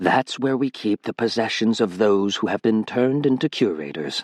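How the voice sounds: A man puts on a character voice at a medium pitch. It sounds raspy and moves at a moderate pace.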